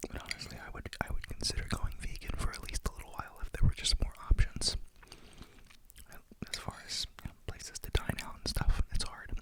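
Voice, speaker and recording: Noticeable background noise surrounds a woman who whispers. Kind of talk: ASMR whispered eating video with rambling talk. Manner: whispered, soft-spoken.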